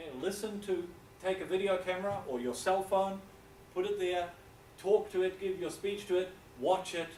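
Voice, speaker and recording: Speaking with a New Zealand accent at a moderate pace, a man has a high pitch and takes long, frequent pauses. Noticeable background noise and audible room echo fill the recording. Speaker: university English lecturer. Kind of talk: lecture.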